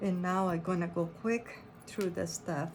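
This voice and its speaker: A woman with a non-native accent speaks very slowly at a medium pitch, with audible room echo. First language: not English. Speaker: quilting and embroidery pattern designer. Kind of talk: tutorial. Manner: halting, with many fillers.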